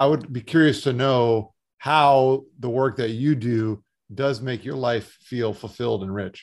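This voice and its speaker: Against a quiet background, a man in an ordinary speaking voice talks at a fairly slow pace, with medium pitch and fairly even intonation. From South Florida. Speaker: podcast host, financial firm founder. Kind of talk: interview.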